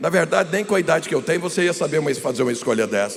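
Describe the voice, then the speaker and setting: A man speaks with ordinary pitch variation. There is audible room echo and noticeable background noise. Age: 60s. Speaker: pastor. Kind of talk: sermon. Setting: stage with audience.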